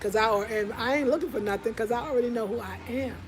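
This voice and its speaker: A woman talks at a fairly high pitch with ordinary pitch variation. Crowd noise sits in the background, and the room echo is audible. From United States. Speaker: vlogger living abroad. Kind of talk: casual vlog monologue.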